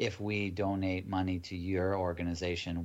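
Very deep, low pitch from a man, monotone, flat intonation at a fairly slow pace, with audible room echo. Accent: American. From United States. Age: 40s. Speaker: ayahuasca retreat organization founder. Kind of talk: casual interview.

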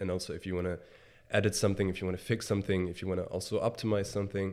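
On a very clean recording with a silent background, a man speaks in a fairly low voice with a Bavarian accent. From Germany, Bavaria (small village near Munich). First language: German. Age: 20s. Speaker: sneaker reseller and entrepreneur. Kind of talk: interview conversation. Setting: in-person recording.

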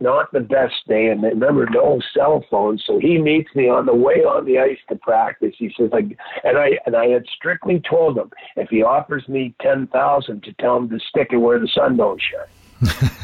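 A man with a Canadian accent at a moderate pace, hardly any pauses, amid noticeable background noise. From Montreal, Quebec (moved there as a baby). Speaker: retired pro hockey player. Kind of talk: interview.

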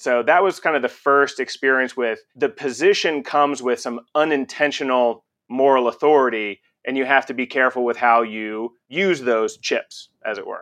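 A man with an American accent and an ordinary speaking voice talks at medium pitch and a moderate pace. Pitch variation is ordinary, over a quiet background. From Texas (Conroe, near Houston). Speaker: radiologist, department chair. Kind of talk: interview conversation.

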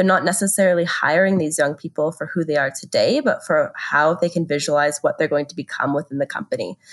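Talking at a fairly quick pace with a Canadian accent, a woman has an ordinary speaking voice at a fairly low pitch. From Canada. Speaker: business school careers director. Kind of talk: podcast interview.

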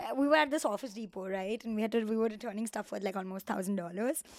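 Speaking with an Indian accent, a woman uses an animated tone at a fairly high pitch with ordinary pitch variation. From Mumbai, India. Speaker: production designer. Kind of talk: casual interview chat. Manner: animated, laughs often.

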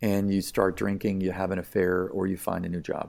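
A man with an American accent speaks at a fairly quick pace and fairly low pitch on a very clean recording with a silent background. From US Southwest (Tucson, Arizona). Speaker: physician and neuroradiologist. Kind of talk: interview conversation. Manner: hesitant, many fillers and repetitions.

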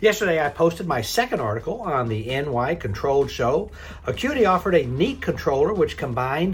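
Music sits in the background as a man's voice moves through very wide pitch swings. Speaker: news host. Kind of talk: news reading, brisk daily headline bulletin. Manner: brisk, crisp, formal; steady, even-paced, newscaster delivery.

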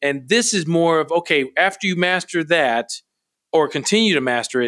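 With an American accent and very wide pitch swings, a man with a high pitch talks at a moderate pace on a very clean recording with a silent background. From US Midwest, Milwaukee, Wisconsin. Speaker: army general. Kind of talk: interview.

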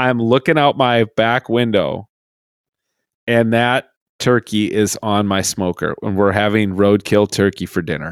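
Recorded dry and close with no echo and a silent background, a man speaks fairly slowly at medium pitch in an ordinary speaking voice. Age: 50s. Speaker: podcast host, reverend and hunter. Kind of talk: casual podcast chat.

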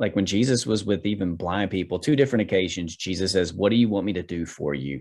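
Here a man talks at a fairly quick pace and a fairly low pitch, with ordinary pitch variation, in an unremarkable speaking voice. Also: very clean recording, silent background. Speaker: minister. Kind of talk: casual interview, personal testimony.

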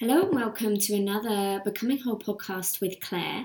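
A woman speaks in an ordinary speaking voice at a medium pitch. Her pace is moderate, with ordinary pitch variation. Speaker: podcast host and yoga teacher. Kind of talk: guided meditation (yoga nidra). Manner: calm, soothing.

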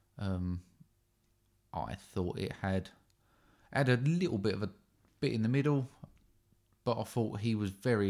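Long, frequent pauses break up a man's speech at a moderate pace. His voice is fairly low with a dark, mellow tone. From southern England. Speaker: podcast co-host. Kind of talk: casual chat.

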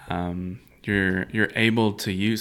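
At a moderate pace, a man speaks in a fairly low voice with ordinary pitch variation, recorded very cleanly against a silent background. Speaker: church podcast co-host, church staff. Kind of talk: casual chat. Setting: studio. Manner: voice shifts to a podcast announcer voice.

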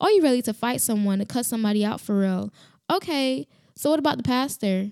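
Speaking at a very fast pace, a woman with a fairly high pitch and a dark, mellow tone uses lively intonation in a very clean, dry, close recording with a silent background and no echo. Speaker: podcast host. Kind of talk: solo podcast monologue, faith talk. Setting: home with construction noise, standing. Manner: animated, gets loud when passionate; casual, many filler words.

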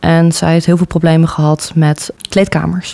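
Her pitch fairly low and her intonation monotone and flat, a woman speaks at a moderate pace. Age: 20s. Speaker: student council vice-chair. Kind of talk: interview.

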